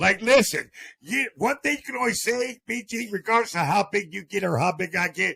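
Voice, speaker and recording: With an American accent, a man speaks at a moderate pace in a raised, projected voice, high-pitched, bright, sharp and animated, with lively intonation. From Ohio, Akron. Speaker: streamer. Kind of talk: casual chat.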